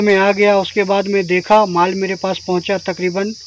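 Light background noise sits under a man's high voice. He talks at a fairly slow pace, and the sound is dry with no echo. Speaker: small business owner vlogger. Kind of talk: casual vlog chat. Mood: resigned, warning tone. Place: forest. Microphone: phone near.

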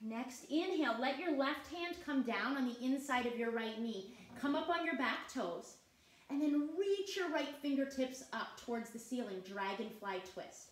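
The voice has a warm, gentle tone and lively intonation. Audible room echo fills the recording. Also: woman, high pitch for a woman. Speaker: yoga instructor. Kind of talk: guided yoga class, calm step-by-step cueing with short teaching asides. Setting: online class with participants on video call. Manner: soothing, slow, steady and encouraging; warm and clear, with a gentle upbeat tone. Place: home room.

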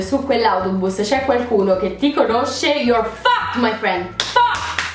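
With lively intonation, a woman speaks over light background noise and audible room echo. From Rome, Italy. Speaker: YouTuber. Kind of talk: casual rant to camera. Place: home room. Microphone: camera far.

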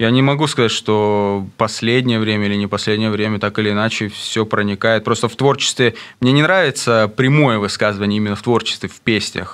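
A man with a fairly low pitch, fairly quick pace and fairly even intonation, against a quiet background. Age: 30s. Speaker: rapper; radio guest. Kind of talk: interview. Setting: studio. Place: studio. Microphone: studio mic.

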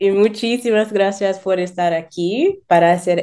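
A woman speaks at a fairly slow pace in a dark, mellow tone. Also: quiet background. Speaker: YouTuber learning Spanish. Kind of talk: interview. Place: home room. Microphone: video call.

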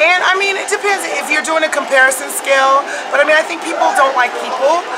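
A woman speaks with an American accent. Loud background noise runs behind her. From United States. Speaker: immigrant to Israel, interviewee. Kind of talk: casual street interview. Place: cafe.

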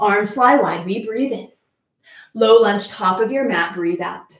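In a room with audible echo but a quiet background, a woman talks at a fairly high pitch with ordinary pitch variation. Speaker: yoga instructor. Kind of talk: live-streamed yoga class, instructional cueing. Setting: video call. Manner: calm, rhythmic, clipped cueing; warm, upbeat. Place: home room. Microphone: camera far.

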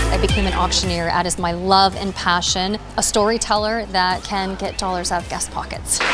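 A woman talks at a moderate pace with hardly any pauses. Noticeable background noise is present. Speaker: benefit auctioneer; fundraising consultant. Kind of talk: casual talk to camera promoting her services. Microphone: handheld.

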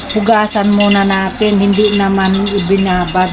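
A woman speaks fairly slowly, her voice carrying audible room echo along with noticeable background noise. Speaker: vlogger. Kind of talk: cooking tutorial. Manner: casual.

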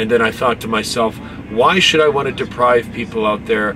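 A man talks at a moderate pace while noticeable noise sits in the background. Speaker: truck driver vlogger. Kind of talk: casual vlog chat. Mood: earnest, grateful. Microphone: phone near.

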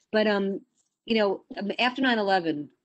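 A woman speaks with ordinary pitch variation. The background is quiet. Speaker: community board committee chair. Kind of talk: public meeting chairing. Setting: video call. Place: home room. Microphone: video call.

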